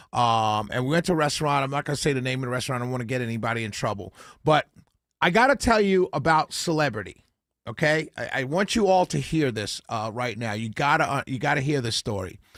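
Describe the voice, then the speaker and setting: Very fast and with lively intonation, a man with a medium pitch talks in a New York accent, in a very clean recording with a silent background and a dry, close sound with no echo. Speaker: talk radio host. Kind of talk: casual radio monologue.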